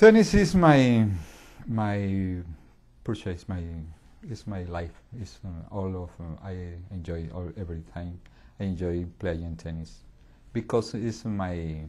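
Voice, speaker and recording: A very deep, low-pitched man's voice in a Colombian accent, dark and mellow in tone, very slow with long, frequent pauses, big swings in loudness and ordinary pitch variation. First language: Spanish. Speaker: English language learner. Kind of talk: interview. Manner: halting.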